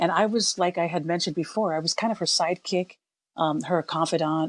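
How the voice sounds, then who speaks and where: At a fairly quick pace, a woman uses a normal speaking voice with a fairly low pitch and ordinary pitch variation, in a dry, close sound with no echo over a quiet background. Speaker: singer from a family pop band. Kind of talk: interview conversation.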